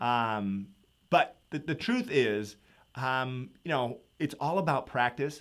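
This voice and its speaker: In a very clean recording with a silent background, a man speaks in an animated tone with ordinary pitch variation. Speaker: economics teacher. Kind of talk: live review session. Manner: fast.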